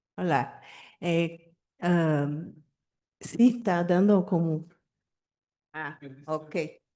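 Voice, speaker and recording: Against a quiet background, a woman speaks at a fairly low pitch in a dark, mellow tone. Her pace is very slow, with ordinary pitch variation and long, frequent pauses. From Brazil. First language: Portuguese (speaking Spanish). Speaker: audience member. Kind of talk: question from the audience. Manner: halting.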